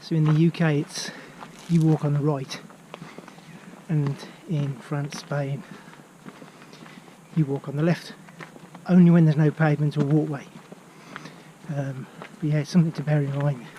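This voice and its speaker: Speaking at a moderate pace with a Birmingham accent, this voice stays monotone and flat, with long, frequent pauses and noticeable background noise. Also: man, fairly high pitch for a man. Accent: Birmingham (Brummie). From England, Birmingham area. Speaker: travel vlogger and walking trip organiser. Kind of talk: casual vlog while walking. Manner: hesitant, with fillers.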